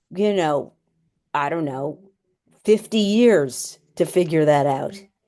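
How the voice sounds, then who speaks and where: Very slowly, a woman with an American accent speaks in a fairly low pitch with a dark, mellow tone. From New York City (Manhattan). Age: 60s. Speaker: personal chef, program graduate. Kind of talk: interview conversation.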